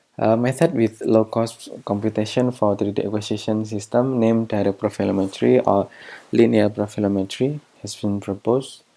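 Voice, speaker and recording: Fairly low-pitched man with an Indonesian accent, a dark, mellow tone, fairly even intonation and a moderate pace. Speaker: researcher. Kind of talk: lecture. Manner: halting.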